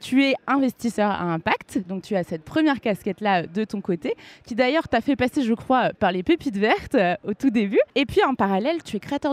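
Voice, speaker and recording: At a moderate pace, a normal speaking voice carries lively intonation in a dry, close sound with no echo and a quiet background. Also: woman. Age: 20s. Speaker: podcast host, content creator. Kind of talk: scripted intro; live podcast interview. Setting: live event with audience.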